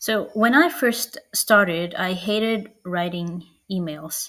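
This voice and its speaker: A woman speaks with a non-native accent. Her pitch is fairly low, with ordinary variation. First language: not English. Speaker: marketing coach. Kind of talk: online workshop. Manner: casual with filler words.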